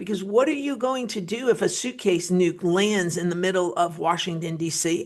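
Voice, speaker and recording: A woman with an American accent, animated in tone, at a medium pitch and a fairly slow pace, with ordinary pitch variation. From New Jersey, US (Wayne). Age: 50s. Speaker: political commentator. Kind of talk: political commentary monologue. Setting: studio.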